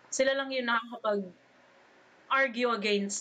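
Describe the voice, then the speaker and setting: Noticeable background noise accompanies a woman speaking. She keeps a moderate pace and fairly even intonation. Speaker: podcast host. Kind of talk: casual chat, nerdy banter.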